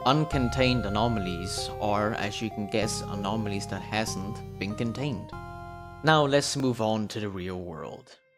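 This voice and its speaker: Music plays in the background as a man talks. He keeps a moderate pace with lively intonation. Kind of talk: casual explainer video narration.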